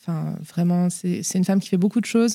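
A woman's medium-pitched voice with a dark, mellow tone, a fairly quick pace and monotone, flat intonation. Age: 30s. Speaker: mother of a child with leukemia, pharmacist. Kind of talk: interview, personal testimony. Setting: at the host's home.

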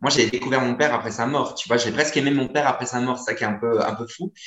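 This man talks very fast. His medium pitch shows ordinary variation. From northern France. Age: 30s. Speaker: comedian. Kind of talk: casual chat. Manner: halting.

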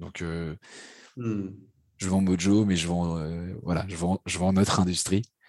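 In a quiet background with a dry, close sound and no echo, a man with a very deep, low pitch speaks at a very slow pace, with fairly even intonation and long, frequent pauses. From France, Paris. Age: 30s. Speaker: startup CEO and sales expert. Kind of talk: podcast interview. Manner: halting, many fillers and repetitions.

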